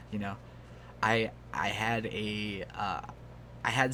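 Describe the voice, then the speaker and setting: In a room with audible echo, a man with a fairly low pitch talks in a relaxed tone with fairly even intonation. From Texas. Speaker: gaming YouTuber. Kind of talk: casual gameplay chat. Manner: relaxed, rambling with fillers.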